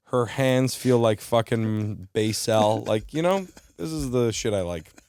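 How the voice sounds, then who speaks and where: A man with a plain, everyday voice speaks at a fairly slow pace and medium pitch, his intonation lively. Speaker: stand-up comedian. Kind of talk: podcast interview answer. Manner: casual, profane, joking.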